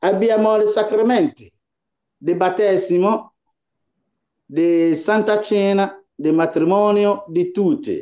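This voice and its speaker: Speaking at a very slow pace with long, frequent pauses, a man uses a high pitch, very even loudness and ordinary pitch variation. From Ghana. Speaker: pastor. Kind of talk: interview.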